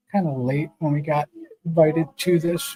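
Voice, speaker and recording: Music plays in the background as a man speaks at a moderate pace with fairly even intonation. The sound is dry and close, with no echo. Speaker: motorcycle builder and streamer. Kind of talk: casual live stream chat. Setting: live stream, remote with green screen. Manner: halting, many filler words.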